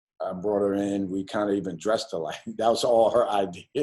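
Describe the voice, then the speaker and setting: This man talks at a fairly quick pace. His pitch is fairly low. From New York. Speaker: college basketball coach. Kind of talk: interview. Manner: halting.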